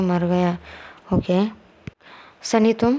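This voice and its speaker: Background noise is noticeable throughout. The speaker is a woman. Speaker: storyteller. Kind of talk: reading a story aloud.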